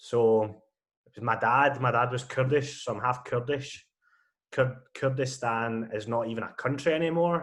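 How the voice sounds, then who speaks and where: A man speaks at a moderate pace with a Scottish accent and a medium pitch. His intonation stays fairly even, though his loudness swings a lot. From Scotland. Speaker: podcast co-host. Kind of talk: casual chat.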